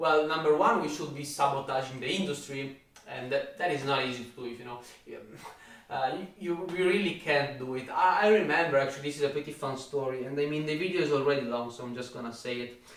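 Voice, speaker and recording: A man's fairly high voice, very fast, in an Italian accent, with ordinary pitch variation, big swings in loudness, audible room echo and noticeable background noise. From Italy. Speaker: fitness YouTuber. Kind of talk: rant.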